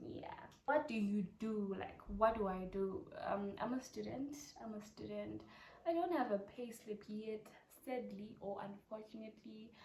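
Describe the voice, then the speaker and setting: A woman with a Zimbabwean accent speaks at a fairly high pitch, her loudness swinging widely. Room echo is audible. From Zimbabwe, Harare. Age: 20s. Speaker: YouTuber, medical student. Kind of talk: casual Q&A vlog. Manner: chatty, repetitive.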